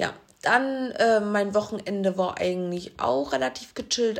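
In a normal speaking voice, the speaker moves at a fairly slow pace with lively intonation. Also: woman. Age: 20s. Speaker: podcast co-host. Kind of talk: casual chat.

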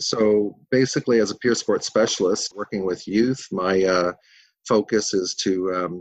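A man with a Canadian accent has a very deep, low pitch and fairly even intonation. The sound is dry and close, with no echo. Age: 60s. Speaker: peer support specialist. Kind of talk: interview. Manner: halting, many fillers.

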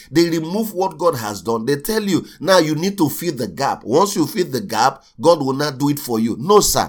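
With lively intonation, a man talks at a fairly quick pace and a fairly high pitch.

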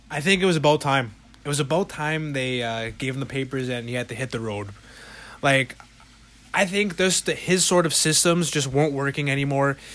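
Over noticeable background noise, a man talks at a moderate pace. His voice is fairly high, with ordinary pitch variation. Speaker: podcast co-host. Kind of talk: casual chat.

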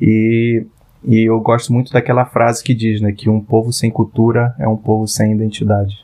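A man's medium-pitched voice with a dark, mellow tone and an Amazonas accent, fairly even intonation, very even loudness and a moderate pace. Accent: Amazonas Brazilian Portuguese. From Parintins, Amazonas, Brazil. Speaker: product designer. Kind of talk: interview.

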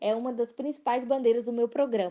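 A woman's fairly high voice in a Minas Gerais accent. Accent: Minas Gerais Brazilian Portuguese. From Brazil, Belo Horizonte. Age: 20s. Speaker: political candidate. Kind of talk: campaign monologue.

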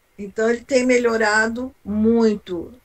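A woman with a fairly high pitch takes a fairly slow pace as she talks. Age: 60s. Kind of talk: testimony. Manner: halting.

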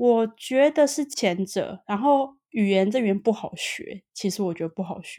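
In an ordinary speaking voice, a woman talks at a fairly slow pace. Her pitch is fairly high and her intonation lively. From Taiwan. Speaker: Taiwanese expat in Sweden. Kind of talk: casual interview chat.

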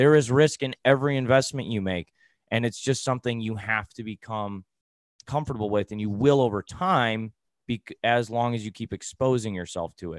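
A man with an American accent has an ordinary speaking voice at medium pitch, with ordinary pitch variation and a fairly quick pace. The sound is dry and close with no echo, on a very clean recording with a silent background. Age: 30s. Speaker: personal finance coach. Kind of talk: interview.

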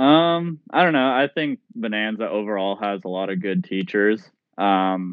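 An American-accented man with a fairly low pitch speaks at a fairly slow pace, his intonation lively. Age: young. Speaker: college student and amateur runner. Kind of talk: interview. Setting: phone call. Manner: halting.

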